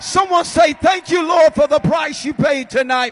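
Against light background noise, a man speaks with an enthusiastic tone at a moderate pace. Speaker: event emcee. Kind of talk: stage hosting, church event. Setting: stage with audience. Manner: enthusiastic, crowd-rousing. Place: stage. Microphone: handheld.

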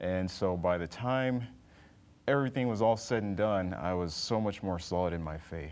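A man with an American accent and a very deep, low pitch, at a moderate pace with long, frequent pauses. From Texas (Dallas); Texas. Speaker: flight instructor, former Navy pilot; flight instructor. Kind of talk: interview. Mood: calm, earnest. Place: studio.

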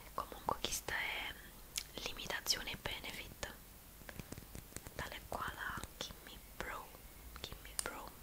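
A woman whispers, leaving long, frequent pauses between her words. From Naples. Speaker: ASMR beauty creator. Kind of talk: ASMR makeup tutorial. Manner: whispered. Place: home room. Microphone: studio mic.

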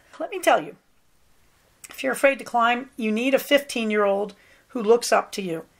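Speaking in an ordinary speaking voice, a woman talks at a fairly quick pace and a fairly high pitch with lively intonation on a very clean recording with a silent background. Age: 60s. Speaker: podcast host, psychologist. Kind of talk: casual monologue. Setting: at home, sitting on bed.

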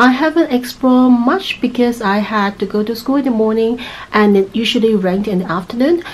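A woman's high-pitched voice at a fairly quick pace, with ordinary pitch variation and light background noise. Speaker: travel vlogger. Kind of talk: casual vlog chat. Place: home room. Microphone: phone near.

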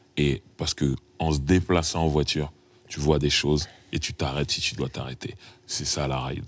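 A man's very deep, low voice with vocal fry, fairly even intonation and long, frequent pauses. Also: moderate pace. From France, Paris suburbs (Sarcelles); France. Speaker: rapper; interviewee. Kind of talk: casual chat. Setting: studio. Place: studio.

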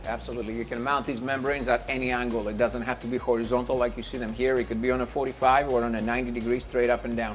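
Over faint background music, a man talks very fast with hardly any pauses. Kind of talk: interview answer, product demo. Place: shop. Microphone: lapel.

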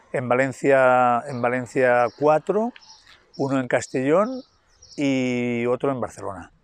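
A man talks at a very slow pace with ordinary pitch variation. The sound is dry, with no echo. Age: 60s. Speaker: athlete with a degenerative illness. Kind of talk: interview. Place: street. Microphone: lapel.

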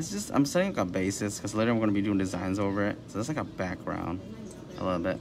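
A man speaks at a very fast pace and a fairly low pitch. Noticeable background noise is present. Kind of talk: tutorial. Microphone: camera far.

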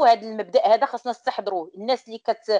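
A woman is speaking. The background is quiet. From Morocco. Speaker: talk show host. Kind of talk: panel discussion. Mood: earnest, persuasive. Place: home room. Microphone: video call.

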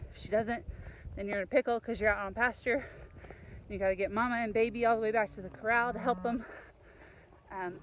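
A woman at a very fast pace, fairly even intonation, dry sound with no echo, and noticeable background noise. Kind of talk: casual vlog chat. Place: open country. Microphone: phone near.

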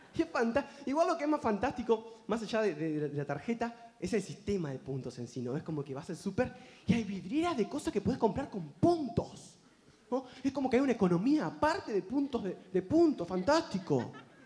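The speaker has a Uruguayan accent and a fairly quick pace. The pitch swings very widely. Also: man. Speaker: comedian. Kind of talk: stand-up. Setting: stage with audience. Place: stage. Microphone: handheld.

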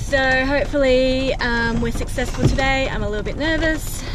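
A woman with ordinary pitch variation, in a dry sound with no echo and noticeable background noise. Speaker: family vlogger. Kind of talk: casual vlog chat. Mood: a little nervous. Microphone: phone near.

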